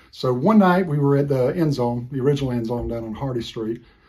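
Speaking fairly quickly in an American accent, a man has a medium pitch, ordinary pitch variation, a dark, mellow tone and a somewhat breathy voice. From Florida. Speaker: former college football player. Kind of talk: recorded anecdote.

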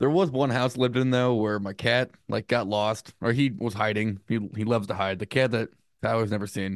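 Against a quiet background, a man with an American accent talks at a fairly quick pace in a plain, everyday voice, medium in pitch with ordinary variation, the sound dry and close with no echo. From United States. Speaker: podcast co-host. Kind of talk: casual chat.

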